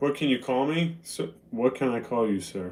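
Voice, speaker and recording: A man with an American accent speaks in a normal speaking voice at medium pitch and a moderate pace, with ordinary pitch variation. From Boston, US. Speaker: live streamer. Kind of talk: casual chat. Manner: casual, conversational.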